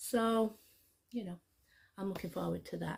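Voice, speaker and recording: A woman with a Scottish accent speaks in a somewhat breathy voice. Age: 50s. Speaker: YouTuber. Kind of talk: casual vlog chat. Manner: chatty, hesitant with fillers.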